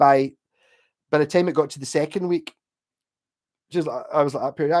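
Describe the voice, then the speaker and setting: Speaking at a fairly quick pace with a Glasgow accent, a man shows ordinary pitch variation on a very clean recording with a silent background and a dry, close sound with no echo. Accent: posh Glasgow. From Scotland, Glasgow. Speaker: livestreamer and guitarist. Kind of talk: casual chat. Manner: clearer than his friends.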